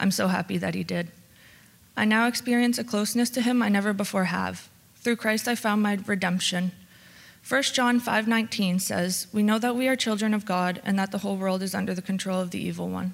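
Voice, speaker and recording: A woman with a Canadian accent and a normal speaking voice talks fairly quickly at a medium pitch, her intonation fairly even. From Oshawa and Lindsay, Ontario, Canada. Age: 20s. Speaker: recovery program participant. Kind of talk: testimony. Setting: church.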